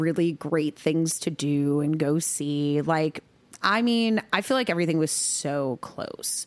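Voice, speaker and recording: A woman with an American accent talks at a fairly low pitch with ordinary pitch variation. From New York. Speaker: country singer-songwriter. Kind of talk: casual chat. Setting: studio. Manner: animated.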